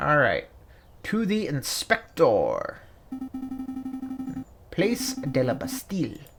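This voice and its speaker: Put-on character voice, female-sounding, at a very slow pace with long, frequent pauses over clear music in the background. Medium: game stream. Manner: excitable, chatty.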